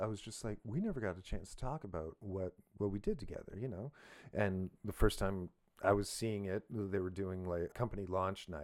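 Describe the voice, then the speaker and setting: A plain, everyday voice from a man, fairly low in pitch, at a moderate pace with ordinary pitch variation. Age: 40s. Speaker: podcast host and musician. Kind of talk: casual chat.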